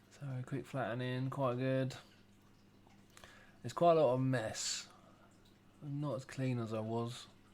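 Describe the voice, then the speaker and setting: Speech comes at a fairly slow pace with long, frequent pauses and fairly even intonation. Audible room echo surrounds it. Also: man, medium pitch for a man. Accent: English. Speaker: former plasterer, DIY video maker. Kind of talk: voiceover commentary. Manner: casual, halting.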